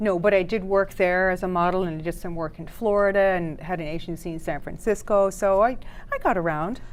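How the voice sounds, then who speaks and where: Speaking at a fairly quick pace, a woman uses a medium pitch and fairly even intonation. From Netherlands, then New York and Toronto. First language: French. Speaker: dating coach. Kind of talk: talk show interview.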